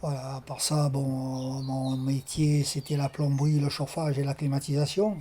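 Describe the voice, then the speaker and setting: With hardly any pauses, a man speaks at a fairly slow pace in a fairly high, somewhat breathy voice with a dark, mellow tone and monotone, flat intonation. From Tunisia (Sousse), later Marseille. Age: 70s. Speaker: retired plumber, amateur fisherman. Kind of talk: oral history testimony interview. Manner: hesitant, many fillers.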